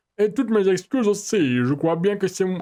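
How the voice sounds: Using a put-on character voice, a man speaks high in pitch with lively intonation. His pace is moderate.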